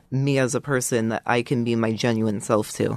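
A man talks in an unremarkable speaking voice at a medium pitch. His pace is moderate, and his intonation is fairly even. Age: 20s. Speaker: coaching client. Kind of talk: casual interview.

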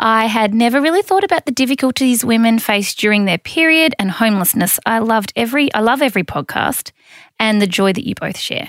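In an Australian accent, a woman speaks at a fairly quick pace with a fairly high pitch and lively intonation, the sound dry and close with no echo. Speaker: podcast host. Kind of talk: casual chat.

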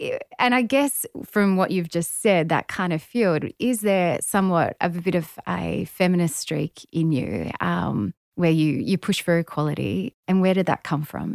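A normal speaking voice from a woman, fairly low-pitched, with lively intonation, a moderate pace and hardly any pauses, on a very clean recording with a silent background and a dry, close sound with no echo. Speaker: podcast host and sports journalist. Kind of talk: casual interview.

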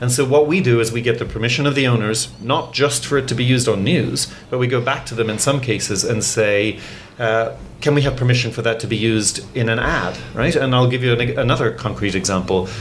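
Audible room echo and noticeable background noise accompany a man speaking at a fairly quick pace. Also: medium pitch for a man, ordinary pitch variation. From Ireland. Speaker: news editor. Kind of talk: interview. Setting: studio.

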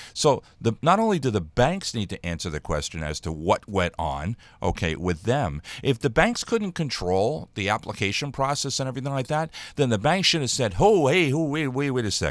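In a very clean recording with a silent background, a man of medium pitch speaks at a moderate pace with vocal fry and very wide pitch swings. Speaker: radio show host. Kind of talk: opinionated talk radio rant. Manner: angry, animated.

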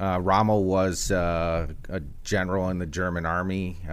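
Here is a man with an American accent. His pitch is very deep and low. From Chicago, US Midwest. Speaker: tech company executive. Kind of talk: interview.

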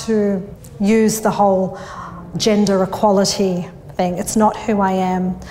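Over noticeable background noise, a woman speaks with an Australian accent. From Australia, northwest Sydney. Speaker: bookkeeping business owner. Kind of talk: interview. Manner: hesitant, many fillers.

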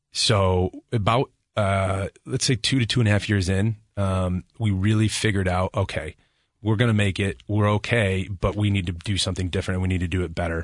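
The sound is dry and close with no echo over a quiet background as a man with an American accent speaks in an unremarkable speaking voice, fairly low in pitch, at a fairly quick pace with fairly even intonation. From Nebraska. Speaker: commercial real estate broker. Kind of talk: interview.

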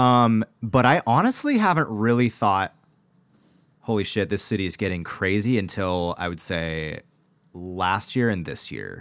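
An unremarkable speaking voice from a man with an American accent, fairly low in pitch with ordinary pitch variation, at a fairly slow pace on a very clean recording with a silent background. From Washington State, US Pacific Northwest. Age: 20s. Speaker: pop-punk musician. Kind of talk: casual chat. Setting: studio.

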